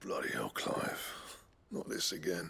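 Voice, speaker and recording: This man puts on a raspy character voice. He talks at a fairly slow pace. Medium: video game. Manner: gruff, blunt.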